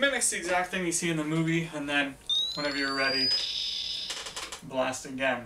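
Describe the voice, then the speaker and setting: The speaker has an ordinary speaking voice with ordinary pitch variation. Light background noise can be heard. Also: man. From Canada. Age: 20s. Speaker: teacher and maker. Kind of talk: casual talk to camera, TV host audition. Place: home room. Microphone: webcam.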